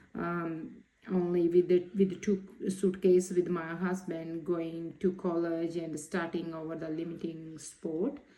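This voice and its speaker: A woman with a Punjabi accent, her fairly low pitch and dark, mellow tone paired with fairly even intonation and a fairly slow pace. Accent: Punjabi Indian. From Punjab, India. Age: 30s. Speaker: social work student. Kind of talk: reflective assignment talk. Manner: halting.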